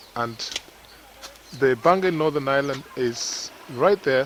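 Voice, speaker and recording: Ordinary pitch variation in a non-native accent, with noticeable background noise. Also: man. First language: not English. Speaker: travel vlogger. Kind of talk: casual walking vlog narration. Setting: outdoors at the seaside.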